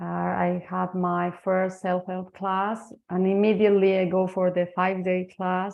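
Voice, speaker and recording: A woman speaks in a Spanish accent at a fairly slow pace. Her intonation is monotone and flat. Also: medium pitch for a woman. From Spain. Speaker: energy healing practitioner and translator. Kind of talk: interview testimony. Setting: online webinar. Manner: halting.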